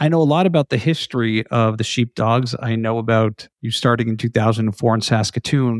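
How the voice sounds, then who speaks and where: In a very clean recording with a silent background, a man uses an ordinary speaking voice at a medium pitch, moving at a fairly quick pace with hardly any pauses and ordinary pitch variation. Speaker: podcast host. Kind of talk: casual interview.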